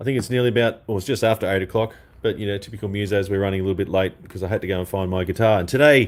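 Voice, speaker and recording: This voice moves at a very fast pace. It speaks in an Australian accent. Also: man. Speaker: guitarist and online show host. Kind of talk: live stream chat.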